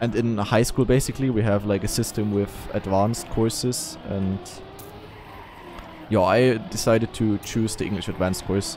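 A man with a German accent and a fairly low voice, at a moderate pace with ordinary pitch variation and long, frequent pauses, in a dry sound with no echo and faint music in the background. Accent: German accent, noticeable. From Eastern Germany. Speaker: streamer; game streamer. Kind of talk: casual chat. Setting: live stream. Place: home room. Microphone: studio mic.

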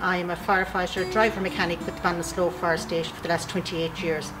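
Noticeable background noise sits under speech at a fairly quick pace. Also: woman. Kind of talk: interview answer, recruitment appeal. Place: garage.

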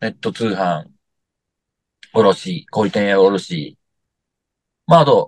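A man's fairly low voice comes through dry, with no echo, against a quiet background. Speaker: company founder; interviewee. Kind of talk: interview. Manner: casual, many fillers. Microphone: video call.

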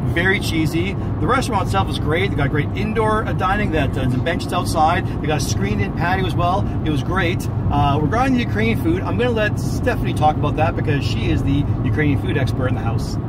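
A man talks at a very fast pace with hardly any pauses. Loud background noise fills the recording. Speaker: food reviewer. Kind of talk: casual vlog chat. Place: car. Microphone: phone near.

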